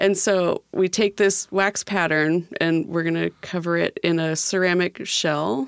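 An ordinary speaking voice with an American accent moves at a fairly slow pace with hardly any pauses, very even loudness and fairly even intonation, in a dry, close sound with no echo. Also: woman, fairly low pitch for a woman. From California. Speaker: sculptor. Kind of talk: interview. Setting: studio.

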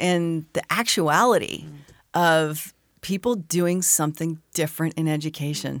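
A woman with an American accent has an ordinary speaking voice. Her pitch is fairly low and her pace fairly slow. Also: very clean recording, silent background. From Arizona. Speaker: education innovator. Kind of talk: interview.

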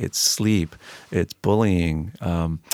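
A man's very deep, low voice comes through dry and close, with no echo. The recording is very clean, its background silent. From Peru, then Maryland from age eight. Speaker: physician and school board member. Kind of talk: podcast interview. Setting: studio. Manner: halting, many fillers.

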